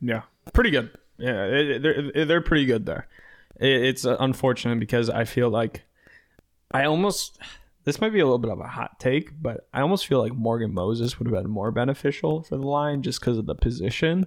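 Over a silent background on a very clean recording, a man speaks fairly quickly in a plain, everyday voice at medium pitch with lively intonation. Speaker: podcast host. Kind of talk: casual chat.

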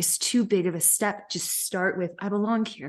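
An unremarkable speaking voice moves at a fairly slow pace with fairly even intonation over a quiet background. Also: woman. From US South, Memphis, Tennessee. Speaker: storyteller and leadership coach. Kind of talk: casual chat.

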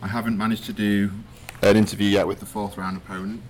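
Noticeable background noise sits under this man's voice. His pitch is fairly low and his intonation is monotone and flat. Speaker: podcast host, tournament player. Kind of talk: casual chat. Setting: in a car.

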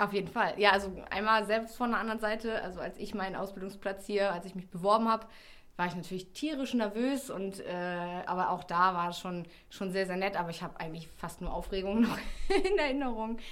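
Amid audible room echo, a woman talks at a fairly quick pace in a medium-pitched voice with ordinary pitch variation. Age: 30s. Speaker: public-sector recruitment and marketing officer. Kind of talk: interview. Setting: studio.

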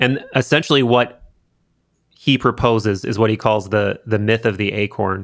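A man's ordinary speaking voice at medium pitch, with fairly even intonation and a moderate pace, in a very clean recording with a silent background. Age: 30s. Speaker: podcast host and video creator. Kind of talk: casual chat. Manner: casual, conversational.

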